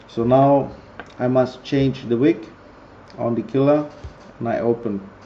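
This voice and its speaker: A man with a Greek accent at a fairly slow pace. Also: medium pitch for a man. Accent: non-native English, Greek. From Greece. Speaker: vaping product reviewer. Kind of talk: tutorial. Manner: halting, many fillers.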